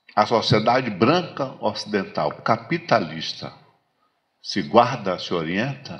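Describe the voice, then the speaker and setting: A man speaks at a medium pitch with vocal fry. His pitch swings very widely at a very slow pace. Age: 60s. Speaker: lecturer on African philosophy. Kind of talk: lecture. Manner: halting, many repetitions and fillers.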